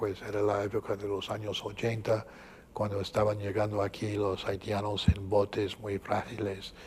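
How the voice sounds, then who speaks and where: A somewhat breathy man with a slight Cuban accent, fairly low pitch, monotone, flat intonation and a moderate pace. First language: English (speaking Spanish). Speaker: archbishop. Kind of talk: interview. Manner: halting, many fillers.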